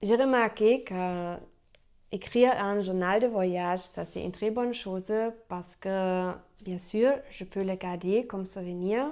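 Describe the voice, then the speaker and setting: On a very clean recording with a silent background, a woman with a German accent speaks very slowly in a dark, mellow tone, with ordinary pitch variation and big swings in loudness. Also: medium pitch for a woman. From Germany. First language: German (speaking French). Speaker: French learner vlogger. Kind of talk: unscripted vlog monologue. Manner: halting, many hesitations.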